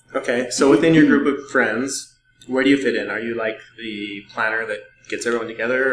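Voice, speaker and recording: A man speaks at a fairly quick pace in a normal speaking voice, with ordinary pitch variation. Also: big swings in loudness. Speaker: podcast host. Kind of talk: casual interview. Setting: echoey room with loud air conditioning. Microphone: rough audio from echoey room.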